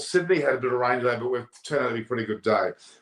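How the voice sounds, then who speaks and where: Pitched medium with ordinary pitch variation, a man talks in an unremarkable speaking voice. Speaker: cricket live stream host. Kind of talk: casual chat. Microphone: too quiet for the other speaker.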